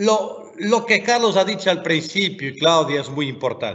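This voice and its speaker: A man with a non-native accent. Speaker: education commission member. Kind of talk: webinar talk.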